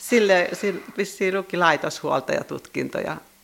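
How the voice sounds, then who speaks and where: The pace is fairly slow, and noticeable background noise can be heard. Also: woman. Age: 60s. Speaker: church sexton. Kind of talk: interview.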